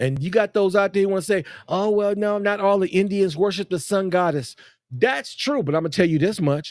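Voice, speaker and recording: A man's high voice at a fairly quick pace, animated in tone with ordinary pitch variation. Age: 50s. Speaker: podcast host. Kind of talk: live podcast monologue. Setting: live stream.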